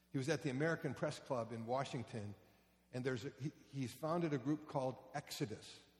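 Talking at a very fast pace, a man uses a somewhat breathy, animated tone at a medium pitch. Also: ordinary pitch variation. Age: 60s. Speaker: pastor. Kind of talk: sermon. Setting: church.

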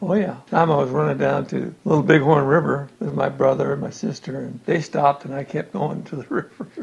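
Over noticeable background noise, a man with an American accent speaks at a fairly quick pace with hardly any pauses. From Montana, US. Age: 60s. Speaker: retired farm-raised family elder. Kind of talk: family oral history interview.

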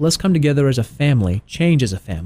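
At a fairly quick pace, a man talks with a medium pitch, a dark, mellow tone, and lively intonation. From Tennessee. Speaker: health consultant. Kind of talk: radio interview. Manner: halting, many filler words.

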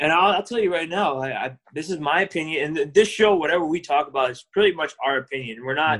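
Talking very fast with hardly any pauses, a man with an American accent shows ordinary pitch variation. His loudness swings widely. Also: fairly high pitch for a man. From Southern California, Orange County. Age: 30s. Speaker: podcast co-host, accountant. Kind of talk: casual chat.

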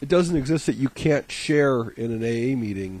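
A man speaks at a moderate pace with lively intonation in a plain, everyday voice. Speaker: radio co-host. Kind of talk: casual chat.

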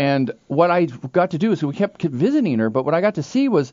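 A man's high-pitched voice at a fairly quick pace with very wide pitch swings. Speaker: radio health show host and doctor. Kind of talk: radio talk show interview. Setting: radio studio.

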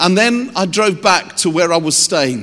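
Speaking at a fairly slow pace in an English accent, a man's pitch swings very widely. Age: 50s. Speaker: youth ministry leader. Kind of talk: sermon.

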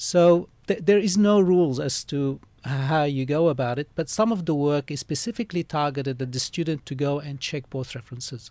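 A man's dark, mellow voice at a fairly high pitch, fairly quick in pace with ordinary pitch variation, dry and close with no echo on a very clean recording with a silent background. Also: hardly any pauses. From Lebanese background, Australia. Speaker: master's student and organization secretary. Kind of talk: radio interview. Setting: radio studio.

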